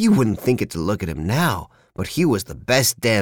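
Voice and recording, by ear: Someone reads a text aloud in a natural voice.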